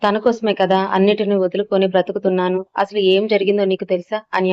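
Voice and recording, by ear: The words are read aloud. The delivery uses a natural voice.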